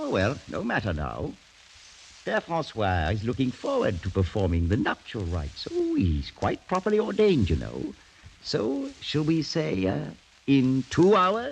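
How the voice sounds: A man uses a put-on character voice at a medium pitch with very wide pitch swings. His fairly slow delivery has vocal fry and a slightly husky edge.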